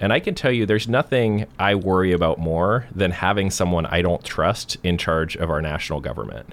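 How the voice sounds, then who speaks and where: Speaking with an American accent, a man with a very deep, low pitch talks at a fairly quick pace with lively intonation. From US Pacific Northwest, Portland area. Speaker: professor and political candidate. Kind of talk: interview. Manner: halting.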